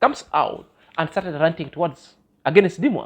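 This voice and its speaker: This speaker has a Kenyan accent and talks at a moderate pace. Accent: Kenyan accent, others say they love it. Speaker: YouTube vlogger. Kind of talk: vlog commentary monologue. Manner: halting with fillers and self-corrections.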